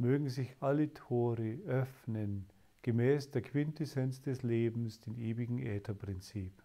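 Against a quiet background, a man talks at a very slow pace in a dark, mellow, calm and soothing tone with ordinary pitch variation. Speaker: spiritual teacher leading meditation. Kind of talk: guided meditation. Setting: live online session for listeners. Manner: slow, calm, soothing, with pauses; devotional, solemn in prayers. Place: home room.

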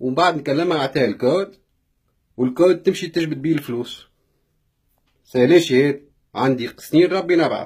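Against a quiet background, a man speaks at a moderate pace and fairly high pitch, somewhat breathy, with ordinary pitch variation and long, frequent pauses. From Tunisia. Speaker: vlogger; vlogger telling a personal story. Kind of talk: live video rant. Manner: animated. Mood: upset, indignant. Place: home room. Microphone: phone near.

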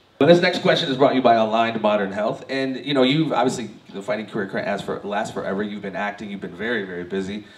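A man rattles along at a very fast pace with hardly any pauses, at a fairly low pitch with ordinary pitch variation and big swings in loudness. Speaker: panel host. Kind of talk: interview. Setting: stage with audience. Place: shop.

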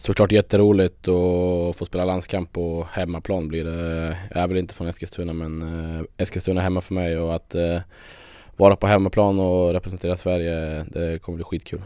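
With a dark, mellow tone, a man speaks in a very deep, low voice at a moderate pace, his intonation monotone and flat, in a dry sound with no echo over a quiet background. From Sweden, Västerås; Sweden. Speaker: handball player. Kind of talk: interview. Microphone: handheld.

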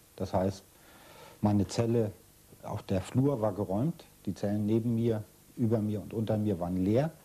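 A man with a fairly low pitch and a dark, mellow tone speaks at a moderate pace. Long, frequent pauses break up his speech. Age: 60s. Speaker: former political prisoner. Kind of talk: interview. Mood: serious, reflective. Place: home room.

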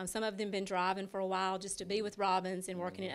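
A woman with a Southern US accent, at a very fast pace. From Dublin, Georgia, US South. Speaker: bank branch manager. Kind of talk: interview. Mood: upbeat, promotional. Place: shop. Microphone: handheld.

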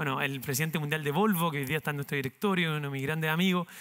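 A man's fairly high, bright, sharp voice with ordinary pitch variation, against a quiet background. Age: 30s. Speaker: entrepreneur, company founder; speaker. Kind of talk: talk to university students; interview answer, storytelling talk. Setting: university auditorium with audience. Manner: halting, many repetitions and fillers. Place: stage. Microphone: headset.

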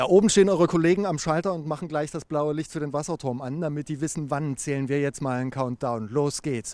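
A man with a fairly high pitch and ordinary pitch variation races along at a very fast pace with hardly any pauses, the sound dry with no echo. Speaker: TV reporter. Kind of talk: live on-site report. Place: street. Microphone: handheld.

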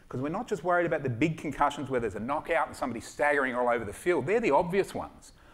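With an Australian accent, a man rattles along at a very fast pace with hardly any pauses, his pitch fairly high and his intonation lively. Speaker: sports doctor and startup founder. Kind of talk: startup pitch with Q&A. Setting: stage with audience. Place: stage. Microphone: headset.

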